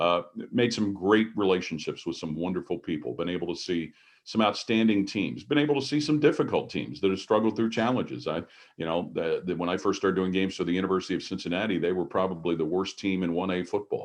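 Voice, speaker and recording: Against a quiet background, the speaker goes at a very fast pace with lively intonation and an American accent. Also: man, very deep, low pitch for a man. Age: 60s. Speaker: sports play-by-play broadcaster. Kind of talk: interview. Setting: video call.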